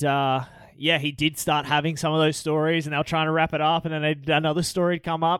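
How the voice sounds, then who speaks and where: Speaking at a fairly quick pace, a man keeps a fairly high pitch. His intonation is monotone and flat, and his loudness stays very even. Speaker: co-host. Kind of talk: casual chat. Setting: studio.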